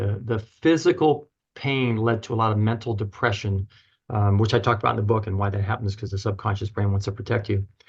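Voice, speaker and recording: A somewhat breathy man at a very fast pace, against a quiet background. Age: 60s. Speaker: chiropractor and author. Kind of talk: podcast interview. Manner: halting.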